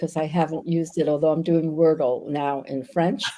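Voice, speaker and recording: In an American accent, the voice carries a dark, mellow tone and fairly even intonation. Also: woman. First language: Yiddish. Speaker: novelist. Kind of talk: interview on live videocast. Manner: hesitant, many fillers.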